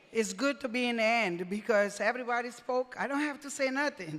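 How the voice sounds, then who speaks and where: Over noticeable background noise, a woman with a non-native accent talks at a moderate pace in a high pitch, her intonation lively. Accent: foreign. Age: 60s. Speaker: deputy mayor. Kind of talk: acceptance speech.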